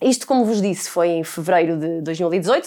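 This woman talks at a fairly quick pace. She speaks with a European Portuguese accent. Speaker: podcast host. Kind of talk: personal monologue.

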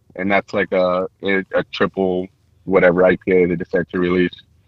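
At a moderate pace, a man with a Californian accent speaks at a fairly low pitch. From San Francisco Bay Area, California. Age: 20s. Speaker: brewer. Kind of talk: casual chat. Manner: halting.

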